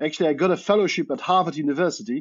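In a Polish accent, a man talks at a fairly high pitch. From Poland. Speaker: media researcher. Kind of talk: interview. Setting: remote call.

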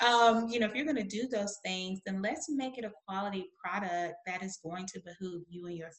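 A somewhat breathy woman at medium pitch with a Southern US accent, moderate pace and ordinary pitch variation. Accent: Southern American. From US South. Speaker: publisher and author. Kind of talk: interview.

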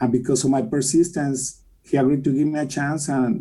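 A man speaks with a Mexican accent. His pitch is fairly high. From Mexico City. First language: Spanish. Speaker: mortgage company president and philanthropist. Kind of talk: interview.

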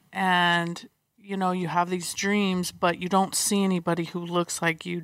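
A woman with an American accent speaks at a fairly slow pace in a fairly low pitch with monotone, flat intonation. The recording is very clean with a silent background. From US West Coast (San Diego). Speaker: athletic trainer and physical therapist. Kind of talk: interview.

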